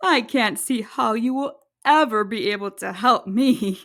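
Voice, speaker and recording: A put-on character voice with lively intonation moves at a fairly slow pace on a very clean recording with a silent background. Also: woman, fairly high pitch for a woman. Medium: read story.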